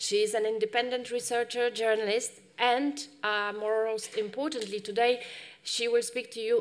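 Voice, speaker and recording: The woman's intonation is fairly even, and her pace is moderate. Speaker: panel moderator. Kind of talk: moderator introduction. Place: hall. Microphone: podium.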